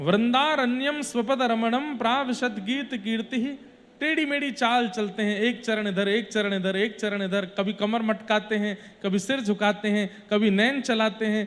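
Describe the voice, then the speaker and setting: Against noticeable background noise, a man talks in a high voice. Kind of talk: religious discourse (katha) delivered to an audience.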